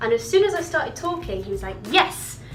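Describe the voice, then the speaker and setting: Room echo and noticeable background noise both surround a woman as she talks. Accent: British. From Britain. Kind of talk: casual video diary.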